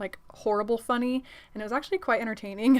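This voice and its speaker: A fairly high-pitched woman amid noticeable background noise. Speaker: beauty youtuber. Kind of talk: tutorial. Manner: fast; casual, upbeat.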